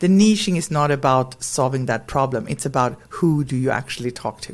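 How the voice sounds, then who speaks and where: Over noticeable background noise, a woman with a Swedish accent and a very deep, low pitch talks at a fairly quick pace with lively intonation. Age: 40s. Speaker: brand strategist and educator. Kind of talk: podcast interview.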